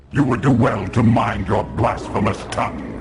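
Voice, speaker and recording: In a growling, put-on character voice at a medium pitch, a man speaks at a moderate pace with audible echo. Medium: video game. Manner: proud, solemn.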